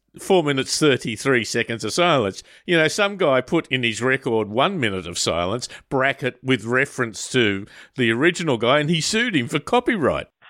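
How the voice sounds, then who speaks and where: A man with an Australian accent speaks at a medium pitch with lively intonation and a bright, sharp tone. The sound is dry and close with no echo, on a very clean recording with a silent background. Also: moderate pace. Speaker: radio host. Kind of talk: radio magazine program, interview.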